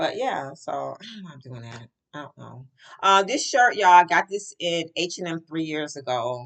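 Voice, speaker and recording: Speech comes at a moderate pace. Its pitch swings very widely. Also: woman. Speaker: vlogger. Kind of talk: casual vlog chat. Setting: at work, on camera. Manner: rambling, conversational.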